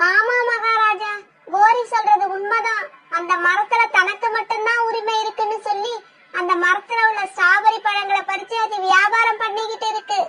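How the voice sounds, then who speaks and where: This cartoonish character voice sits at an extremely high pitch, with monotone, flat intonation and a fairly slow pace. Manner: eager, repeats itself.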